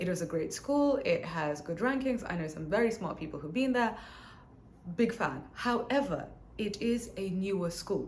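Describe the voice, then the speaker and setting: Amid audible room echo, a woman's somewhat breathy voice makes very wide pitch swings. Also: medium pitch for a woman, moderate pace. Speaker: business educator and MBA graduate. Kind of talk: educational talk to camera. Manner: casual, conversational.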